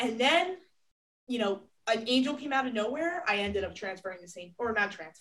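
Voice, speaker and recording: A woman speaks with vocal fry. Her pace is moderate. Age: young. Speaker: podcast host and college athlete. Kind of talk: casual interview chat.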